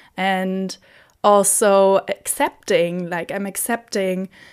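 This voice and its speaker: A woman's medium-pitched voice with a German accent, very slow pace, very clean recording and silent background. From southern Germany. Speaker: podcaster. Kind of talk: casual monologue. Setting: home recording in bedroom.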